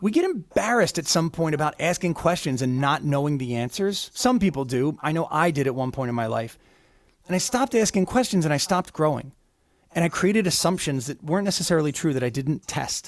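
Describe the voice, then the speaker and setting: A man talks at a very fast pace with lively intonation and a fairly high pitch, the background quiet. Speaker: keynote speaker and musician; keynote speaker. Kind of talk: interview storytelling. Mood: reflective, earnest. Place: home room. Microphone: studio mic.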